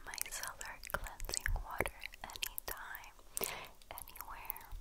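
The delivery is very slow. A woman whispers the words. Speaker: beauty reviewer. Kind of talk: soft-spoken product review, reading labels.

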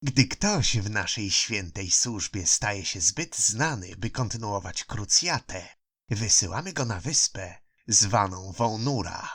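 Over a silent background in a very clean recording, a man with a fairly low pitch speaks very slowly with lively intonation. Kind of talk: audiobook narration with character voices. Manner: calm, gentle, maternal tone for the night mother's lines.

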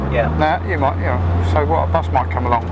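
Dry with no echo yet backed by loud background noise, a man talks at a very fast pace. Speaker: driving instructor. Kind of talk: instructional commentary. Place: car. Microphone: lapel.

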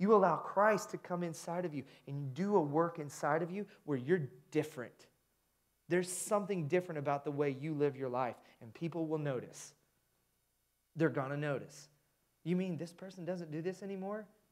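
A man's high voice in an American accent, animated in tone, with big swings in loudness, ordinary pitch variation, a moderate pace, long, frequent pauses and a quiet background. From US Midwest, Indiana. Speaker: pastor. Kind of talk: sermon. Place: church. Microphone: headset.

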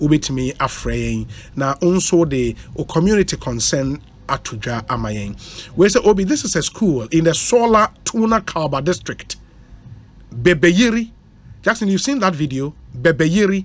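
A man with a Ghanaian accent talks at a fairly slow pace. His fairly high voice swings very widely in pitch. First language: Twi. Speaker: radio host. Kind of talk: call-in community concerns show. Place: studio. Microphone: studio mic.

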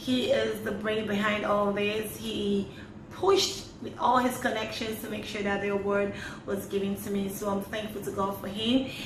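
A woman's flat, monotone delivery at a moderate pace, against noticeable background noise. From Lagos, Nigeria. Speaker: award recipient. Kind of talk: interview testimony. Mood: cheerful, smiling. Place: home room. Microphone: phone near.

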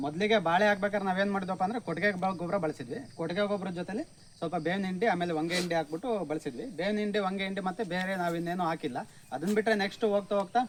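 Noticeable background noise sits under the recording. A man speaks at a high pitch with ordinary pitch variation. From Karnataka, Hassan district (Arsikere). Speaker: farmer. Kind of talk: farm tour explanation. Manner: casual, conversational.

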